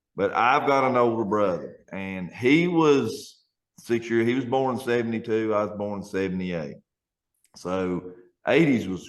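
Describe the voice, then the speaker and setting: This man speaks at a moderate pace. His pitch moves in an ordinary way. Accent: Appalachian. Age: 40s. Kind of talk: casual podcast conversation.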